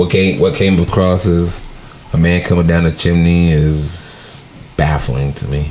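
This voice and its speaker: Behind noticeable background noise, a man speaks at a fairly slow pace in a very deep, low pitch with ordinary pitch variation. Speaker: podcast host. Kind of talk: casual chat.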